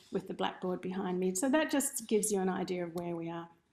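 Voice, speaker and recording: A dark, mellow tone with an Australian accent at a fairly quick pace. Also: woman. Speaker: ceramic artist teaching a workshop. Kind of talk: online workshop presentation. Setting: studio room, streamed over video call.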